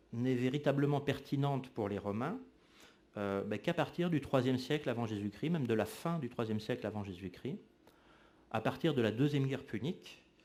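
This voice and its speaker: On a very clean recording with a silent background, a man with a fairly high pitch and a dark, mellow tone speaks at a moderate pace with lively intonation. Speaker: historian. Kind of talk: lecture. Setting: lecture hall with audience. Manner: frequent hesitations (euh).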